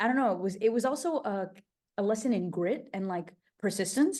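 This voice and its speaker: A woman is speaking. She has a Portuguese accent. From Portuguese-speaking country, then English-speaking country as a child. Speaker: travel host and polyglot. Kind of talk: interview. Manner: casual, animated.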